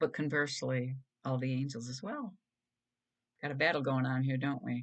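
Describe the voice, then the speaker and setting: A soft-spoken woman talks with a very deep, low pitch. Her pace is moderate and her pitch varies in an ordinary way. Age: 60s. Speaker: video blogger. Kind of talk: casual monologue. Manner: halting.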